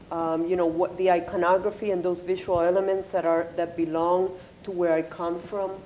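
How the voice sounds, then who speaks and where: Over noticeable background noise, a woman with a Spanish accent talks at a moderate pace in a fairly low pitch with monotone, flat intonation. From Puerto Rico. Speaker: artist. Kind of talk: panel discussion. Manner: halting.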